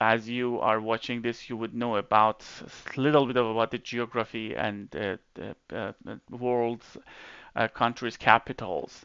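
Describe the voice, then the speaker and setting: Very slowly, a man talks at a medium pitch. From Iran. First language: Persian. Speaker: YouTuber explaining history. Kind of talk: informal video presentation. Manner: halting, many fillers and restarts.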